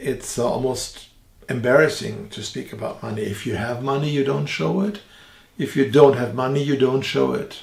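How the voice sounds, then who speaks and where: Noticeable background noise sits behind a man speaking with a German accent. His medium pitch moves with lively intonation at a moderate pace. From Germany. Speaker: theologian and evangelist. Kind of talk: religious teaching podcast. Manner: hesitant, with frequent fillers.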